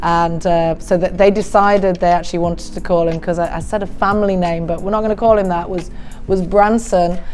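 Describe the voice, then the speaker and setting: Audible room echo surrounds a woman's medium-pitched voice. She talks at a fairly quick pace in a monotone, flat way. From England. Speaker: math teacher. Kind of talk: interview answers, casual.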